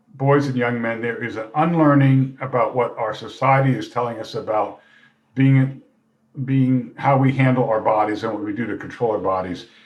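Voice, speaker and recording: A man speaks at a moderate pace and medium pitch. His intonation is fairly even, and the room echo is audible. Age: 60s. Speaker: retired professor and mentor. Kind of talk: casual chat.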